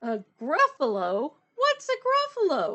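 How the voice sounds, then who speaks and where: The speaker is a woman doing a put-on character voice. Her voice is high and her pace fairly slow. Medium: read story. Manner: hooting.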